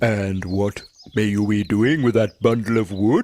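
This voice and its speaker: A man uses a put-on character voice at a fairly low pitch. He speaks at a moderate pace. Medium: read story. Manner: stammering, eager.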